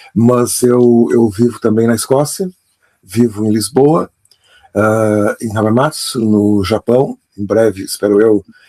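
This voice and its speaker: A very slow, dark, mellow voice with ordinary pitch variation, dry and close with no echo. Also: man, medium pitch for a man. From Brazil, Pelotas, Rio Grande do Sul. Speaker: author and storytelling expert. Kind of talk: interview. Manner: halting, with many fillers and repetitions.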